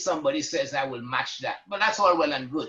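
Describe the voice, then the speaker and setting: A man with a Caribbean accent speaks in a bright, sharp tone. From Trinidad and Tobago. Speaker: retired banker and activist. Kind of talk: panel discussion.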